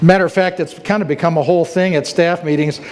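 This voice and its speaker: Noticeable background noise runs under a man speaking with monotone, flat intonation. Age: 60s. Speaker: church staff member giving testimony. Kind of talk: testimony. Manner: rambling with fillers and false starts.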